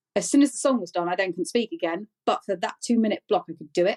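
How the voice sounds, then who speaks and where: A woman with a British accent talks at a fairly quick pace, her voice sounding dry and close with no echo. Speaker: podcast host with functional neurologic disorder. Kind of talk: interview about personal illness. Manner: halting, repetitive.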